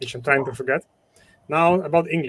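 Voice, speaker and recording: A man talks with a Ukrainian accent. His pitch moves up and down in an ordinary way. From Ukraine. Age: 40s. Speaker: entrepreneur, former event promoter. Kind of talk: interview conversation. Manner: halting.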